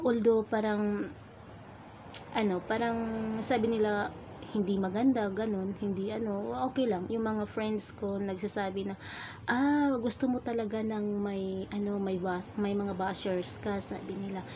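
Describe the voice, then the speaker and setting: Soft-spoken and fairly slow, the voice keeps a fairly even intonation. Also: woman, medium pitch for a woman. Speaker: vlogger. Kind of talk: casual vlog talk. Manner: gentle, soft-spoken. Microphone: phone camera.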